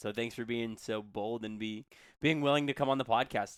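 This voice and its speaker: With an unremarkable speaking voice at medium pitch, a man talks at a fairly quick pace with fairly even intonation, in a dry, close sound with no echo on a very clean recording with a silent background. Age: young. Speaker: podcast co-host, teacher. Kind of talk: casual podcast interview.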